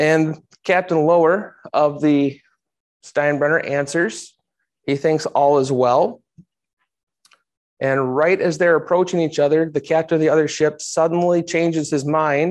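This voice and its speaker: A man talks fairly slowly with fairly even intonation and very even loudness. Long, frequent pauses break his speech over a quiet background. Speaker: history teacher giving a talk. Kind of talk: lecture.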